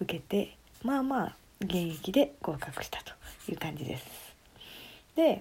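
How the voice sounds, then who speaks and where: A woman's dark, mellow voice comes out somewhat breathy, with very wide pitch swings. Her loudness swings widely, and she pauses long and often. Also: medium pitch for a woman, fairly slow pace. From Tokyo, Japan. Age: 20s. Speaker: podcast co-host, office worker. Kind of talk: casual chat.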